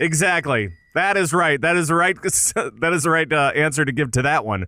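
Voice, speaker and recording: There is vocal fry in this man's bright, sharp tone, and his loudness stays very even. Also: fairly high pitch for a man, ordinary pitch variation, moderate pace. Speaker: podcast co-host. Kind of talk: casual chat. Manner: halting.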